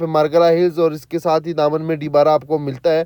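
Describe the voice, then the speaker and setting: The delivery moves at a moderate pace. Its tone is dark and mellow. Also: man. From Pakistan, Gujrat area. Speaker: real estate agent / property vlogger. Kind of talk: property tour. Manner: casual, halting with fillers.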